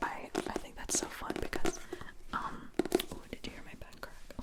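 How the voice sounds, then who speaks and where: Noticeable background noise behind a woman's whisper at a moderate pace. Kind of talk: ASMR whispered book chat. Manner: whispered, soft, rambling.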